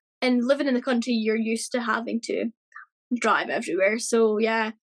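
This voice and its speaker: A woman with a Scottish accent, high-pitched, with fairly even intonation at a moderate pace. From Scotland. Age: 30s. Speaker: cancer survivor. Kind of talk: interview.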